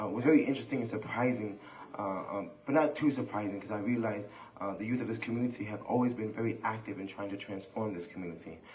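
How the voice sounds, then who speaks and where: A man with a fairly low voice talks very fast with ordinary pitch variation, with audible room echo and noticeable background noise. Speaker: community organizer. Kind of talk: panel discussion. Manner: halting.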